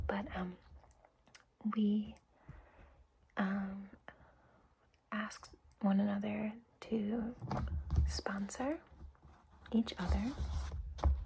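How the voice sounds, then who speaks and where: Soft-spoken and very slow, the speaker leaves long, frequent pauses. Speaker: recovery meeting greeter. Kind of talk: ASMR roleplay.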